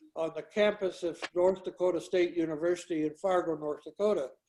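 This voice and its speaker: Flat and monotone, a man talks at a moderate pace in a high pitch with a dark, mellow tone. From US Southwest, Santa Fe, New Mexico. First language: Greek. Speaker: retired research chemist. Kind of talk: casual chat. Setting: video call. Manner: halting, many filler words.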